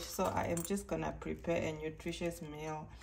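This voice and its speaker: A woman talks at a moderate pace. Audible room echo and noticeable background noise are present. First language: Oshiwambo. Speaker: cooking vlogger. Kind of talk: cooking tutorial. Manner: halting, many fillers and repeats.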